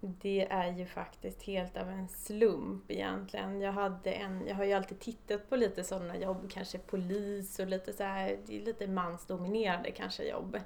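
Over noticeable background noise, a woman with a medium-pitched voice speaks at a moderate pace in a monotone, flat intonation, hardly pausing at all. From Stockholm, Sweden. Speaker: construction site manager. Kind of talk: interview.

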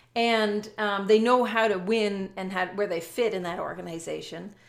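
Speaking with a Canadian accent, a woman has an unremarkable speaking voice, fairly high in pitch, at a moderate pace on a very clean recording with a silent background. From Canada. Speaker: business coach and author. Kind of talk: casual interview.

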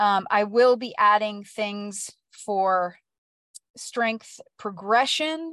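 A woman speaks very slowly, her pitch fairly high. Her pitch varies an ordinary amount. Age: 50s. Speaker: fitness coach. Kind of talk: casual talk to listeners. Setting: live stream.

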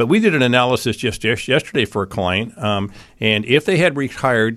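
This man speaks with ordinary pitch variation. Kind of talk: infomercial-style sales pitch. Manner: earnest, reassuring, emphatic.

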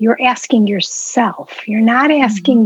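A woman's somewhat breathy voice sits at a fairly high pitch with ordinary pitch variation, the sound dry and close with no echo. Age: 60s. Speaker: retired English professor and stress relief coach. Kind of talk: casual chat.

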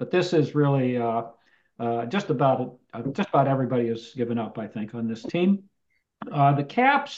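A man with an American accent uses an ordinary speaking voice at a medium pitch. He keeps a moderate pace with ordinary pitch variation. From US West Coast, Palo Alto. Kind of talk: casual chat. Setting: video call.

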